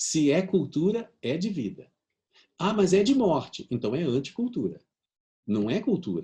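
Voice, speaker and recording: Dark and mellow in tone, the voice moves at a fairly slow pace with very wide pitch swings and long, frequent pauses. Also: man, high pitch for a man. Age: 60s. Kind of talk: video conference talk. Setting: video conference. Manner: animated.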